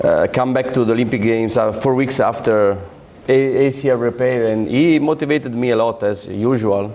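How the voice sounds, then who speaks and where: A man with an Italian accent speaks at a medium pitch and a fairly quick pace, his intonation fairly even and his loudness very even. Audible room echo and noticeable background noise are in the recording. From Italy, Rome. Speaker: orthopaedic surgeon. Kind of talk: conference lecture. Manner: halting, with many fillers.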